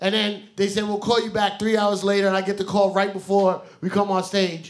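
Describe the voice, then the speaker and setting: A man with a high pitch keeps to a moderate pace. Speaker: comedian and podcast host. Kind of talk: live comedy podcast banter. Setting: stage with live audience. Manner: animated, joking, loud.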